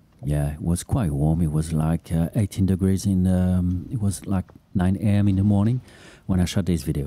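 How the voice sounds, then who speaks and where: A man with a non-native accent, a very deep, low pitch and a dark, mellow tone. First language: not English. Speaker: podcast host and runner. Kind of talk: casual running commentary. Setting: outdoors on beach, running. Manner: hesitant, many fillers.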